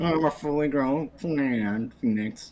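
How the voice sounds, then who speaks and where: A put-on character voice at a fairly slow pace, pitched in the low-to-middle range. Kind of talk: comic overacting. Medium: game stream. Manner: affected, posh, hums "mm, yes" before speaking.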